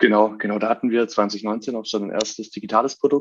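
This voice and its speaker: A man speaks at a moderate pace in an ordinary speaking voice. His pitch is medium and his intonation fairly even. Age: 20s. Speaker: startup co-founder. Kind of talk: interview.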